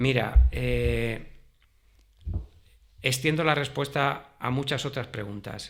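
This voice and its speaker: This man's speech is very slow. Long pauses come often. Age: 60s. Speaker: retired history teacher. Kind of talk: interview.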